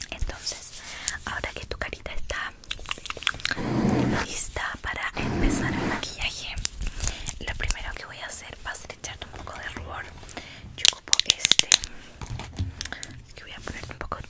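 A woman whispers at a fairly slow pace with long, frequent pauses and big swings in loudness, with noticeable background noise behind her. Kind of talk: ASMR roleplay, makeup. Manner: soft, whispered, intimate.

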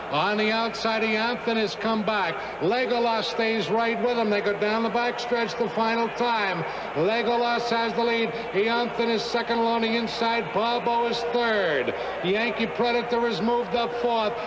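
Noticeable background noise accompanies the speaker. He is a man talking at a moderate pace. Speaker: race announcer. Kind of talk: commentary.

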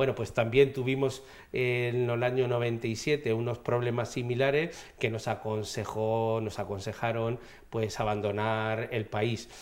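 A man talks at a very slow pace in a monotone, flat intonation. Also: medium pitch for a man. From Madrid, Spain; Spain. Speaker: regional government official. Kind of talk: TV interview. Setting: TV studio. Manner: halting. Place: studio. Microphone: lapel.

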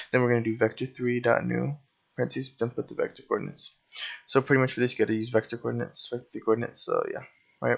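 Here a man speaks quietly. His pace is very fast. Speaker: YouTube game scripting tutor. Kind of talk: tutorial. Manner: quiet and laid-back.

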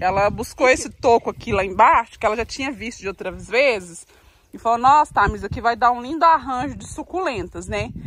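Over light background noise in a dry sound with no echo, a woman talks at a fairly quick pace and fairly high pitch, with lively intonation, big swings in loudness and vocal fry. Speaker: farm life vlogger; vlogger. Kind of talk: casual vlog talk to camera. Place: garden. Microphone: phone near.

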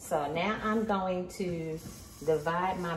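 This woman's voice sits fairly low in pitch. She speaks at a very slow pace over noticeable background noise. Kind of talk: tutorial. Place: kitchen. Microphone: phone near.

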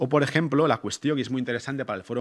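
Quiet background behind a man speaking. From Spain, Móstoles (Madrid area); Spain. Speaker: anthropologist and researcher; conference speaker. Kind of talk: academic lecture. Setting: conference hall with audience. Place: hall. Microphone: podium.

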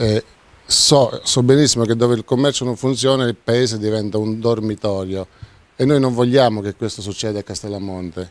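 Fairly quick pace and ordinary pitch variation in a dry sound with no echo. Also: man. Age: 50s. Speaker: mayoral candidate, restaurateur; candidate. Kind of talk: campaign presentation. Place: hall. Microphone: handheld.

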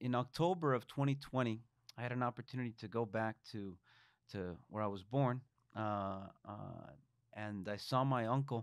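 With a Spanish accent, a man speaks at a fairly slow pace with ordinary pitch variation, the sound dry with no echo and the background quiet. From Mexico. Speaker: state legislator; guest. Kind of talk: interview; interview answer. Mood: reflective, heartfelt. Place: studio. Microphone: studio mic.

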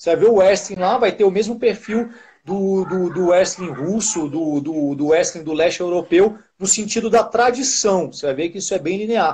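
Moving at a moderate pace, a man speaks with a high pitch and ordinary pitch variation. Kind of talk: casual chat. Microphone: video call.

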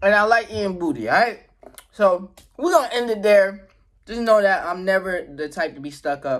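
Over a quiet background, a man speaks at a moderate pace in a high voice. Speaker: mukbang vlogger. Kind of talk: casual vlog chat. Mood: relaxed, goofy, warm. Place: home room. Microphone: phone near.

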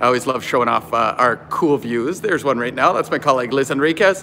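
The speech is very fast, with light background noise. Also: man. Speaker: campus tour guide. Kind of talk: casual live-stream tour commentary. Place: gym. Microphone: phone near.

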